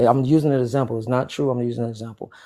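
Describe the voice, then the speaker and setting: At a very fast pace, a man with an American accent talks in a medium pitch, his tone dark and mellow and his intonation monotone and flat. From Florida. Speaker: podcast guest. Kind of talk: casual debate.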